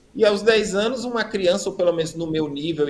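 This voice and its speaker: Speaking at a moderate pace, a man with a high pitch uses lively intonation. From Brazil, Rio Grande do Norte (Natal). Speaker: preacher giving testimony. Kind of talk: testimony.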